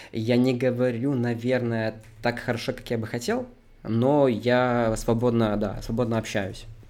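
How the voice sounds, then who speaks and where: A man's medium-pitched voice, fairly slow, in monotone, flat intonation. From Belarus. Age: 20s. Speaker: 2D animator and animation student. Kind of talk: casual interview.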